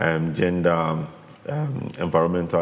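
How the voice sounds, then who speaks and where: A man speaks with a Ghanaian accent. Room echo is audible, and background noise is noticeable. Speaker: artist. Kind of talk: interview. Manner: halting.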